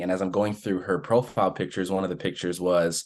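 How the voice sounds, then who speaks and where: A man's very deep, low-pitched voice against a quiet background. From Utah, US. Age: 30s. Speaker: adoptee sharing his story. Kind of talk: personal storytelling on podcast. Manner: casual, with many fillers.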